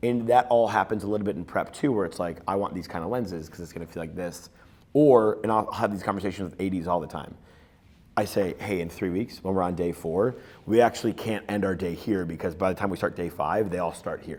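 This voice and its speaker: A man talks at a very fast pace with ordinary pitch variation. His pitch is very deep and low. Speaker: film director. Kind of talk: interview.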